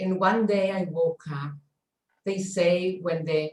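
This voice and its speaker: A woman speaks at a very slow pace with a fairly low pitch and fairly even intonation. Her voice is somewhat breathy. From Chile. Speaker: stress coach. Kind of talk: online workshop talk. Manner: halting.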